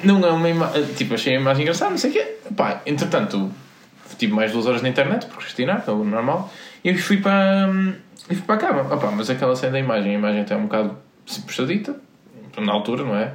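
A man at a very fast pace and fairly high pitch, with very wide pitch swings, long, frequent pauses, audible room echo and noticeable background noise. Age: 20s. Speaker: podcast co-host. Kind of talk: casual chat.

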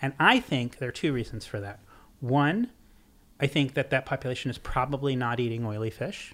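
A man with an American accent and an unremarkable speaking voice, at a medium pitch and fairly quick pace with ordinary pitch variation. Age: 50s. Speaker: author and seafood writer. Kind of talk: casual interview chat.

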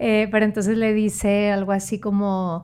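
A woman with a Monterrey accent. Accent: Monterrey (norteño). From Mexico, Monterrey (San Pedro Garza García). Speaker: consultant. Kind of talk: casual chat.

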